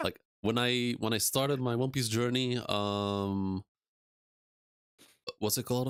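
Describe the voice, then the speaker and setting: A man with a medium pitch talks at a fairly slow pace with fairly even intonation, very even loudness, and long, frequent pauses. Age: 30s. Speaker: YouTube streamer, anime discussion host. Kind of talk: casual live-stream chat.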